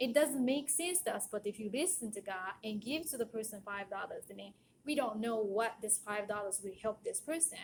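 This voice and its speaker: Lively intonation over a moderate pace, somewhat breathy, with hardly any pauses. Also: woman, fairly high pitch for a woman. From Japan. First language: Japanese. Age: 40s. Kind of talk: casual monologue.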